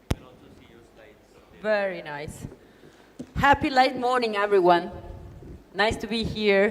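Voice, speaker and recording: With an Italian accent, a woman speaks at a moderate pace in a fairly high pitch with ordinary pitch variation. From Italy. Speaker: business consultant, conference speaker. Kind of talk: conference talk. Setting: stage with audience.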